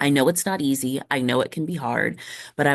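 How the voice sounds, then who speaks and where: The setting behind this woman is quiet. Her pitch sits very deep and low. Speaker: teacher. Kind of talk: tutorial. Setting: library.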